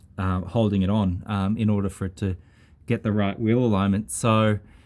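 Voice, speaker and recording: A man's dark, mellow tone, fairly low in pitch, with ordinary pitch variation. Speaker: amateur car mechanic. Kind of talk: casual video walkthrough. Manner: hesitant, many fillers.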